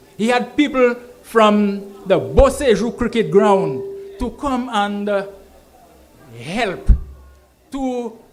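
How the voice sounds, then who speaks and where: A high-pitched man at a very slow pace, with ordinary pitch variation, audible room echo and noticeable background noise. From Saint Lucia. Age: 70s. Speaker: political rally speaker. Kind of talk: political rally speech. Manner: code-switches English and Kweyol.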